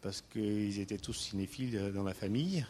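Here a man speaks with an Armenian accent. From Istanbul, Turkey (Armenian family). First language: Armenian (speaking French). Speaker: entrepreneur. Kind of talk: personal storytelling talk. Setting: stage with audience. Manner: halting, many hesitations.

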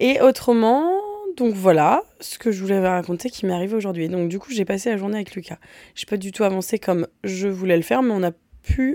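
This voice has a dark, mellow tone, ordinary pitch variation and a moderate pace, recorded dry and close with no echo. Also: woman. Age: 30s. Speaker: podcast host. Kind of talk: casual chat. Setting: home, in a room used for recording.

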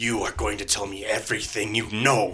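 A man's raspy, put-on character voice at a moderate pace. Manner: devilish, menacing.

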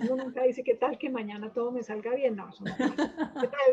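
Over noticeable background noise, a woman with a high pitch talks at a fairly slow pace in a flat, monotone way. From Colombia, Manizales. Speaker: psychiatrist. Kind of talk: interview.

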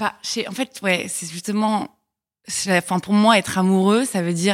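In a very clean recording with a silent background, a woman of medium pitch speaks at a moderate pace with fairly even intonation. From Paris, France. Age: 20s. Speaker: podcast guest. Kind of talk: casual chat.

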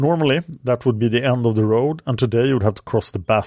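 Against a quiet background, a man with a non-native accent speaks at a medium pitch and a fairly quick pace. His tone is dark and mellow, with ordinary pitch variation. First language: not English. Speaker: history podcast host. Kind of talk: scripted narration.

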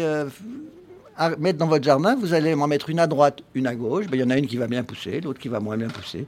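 This man has an ordinary speaking voice, fairly high in pitch. He talks at a fairly quick pace with ordinary pitch variation. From Paris, France. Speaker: urban gardener, company founder. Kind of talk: live radio panel discussion. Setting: live broadcast at public event.

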